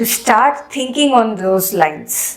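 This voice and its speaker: With music in the background and audible room echo, the speaker uses an Indian accent at a fairly slow pace with ordinary pitch variation. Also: woman. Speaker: Sanskrit teacher. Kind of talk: educational lecture.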